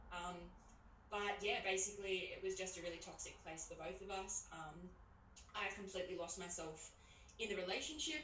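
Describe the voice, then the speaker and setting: Noticeable background noise and audible room echo surround a fairly quick speaker with an Australian accent. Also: woman. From Tasmania, Australia. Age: 20s. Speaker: author and single mother. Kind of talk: casual interview. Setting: video call.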